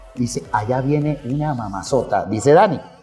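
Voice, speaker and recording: Music plays behind a man speaking at a medium pitch. His pitch variation is ordinary. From Venezuela, Mérida. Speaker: radio announcer. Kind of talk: interview answer. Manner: spontaneous, humorous.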